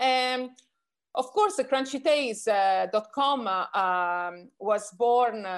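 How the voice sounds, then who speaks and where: Speaking very slowly with lively intonation and big swings in loudness, a woman with a high voice comes through on a very clean recording with a silent background. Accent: Italian. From Italy. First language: Italian. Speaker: magazine founder and editor. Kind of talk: interview. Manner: halting.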